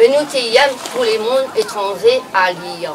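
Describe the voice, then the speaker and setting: Someone speaks at a very slow pace with lively intonation, with crowd noise in the background and audible room echo. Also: woman. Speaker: elderly villager. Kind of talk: personal reminiscence.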